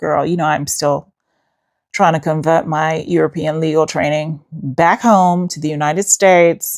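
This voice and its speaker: A woman with an American accent, very deep and low in pitch, animated in tone, at a moderate pace. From Queens, New York City. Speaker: podcast host, lawyer. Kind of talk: casual chat.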